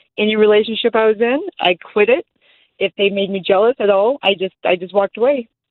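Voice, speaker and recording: A woman with an unremarkable speaking voice, fairly high in pitch, at a fairly quick pace. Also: fairly even intonation. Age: 40s. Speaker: caller. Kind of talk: casual chat.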